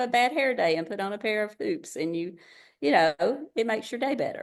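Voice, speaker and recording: Against a quiet background, the voice swings very widely in pitch. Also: woman. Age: 60s. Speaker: retired teacher and direct seller. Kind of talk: podcast interview. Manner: animated.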